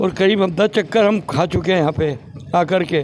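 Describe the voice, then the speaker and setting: There is noticeable background noise in the clip. The man's pitch varies in an ordinary way. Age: 70s. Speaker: elderly villager. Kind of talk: street interview.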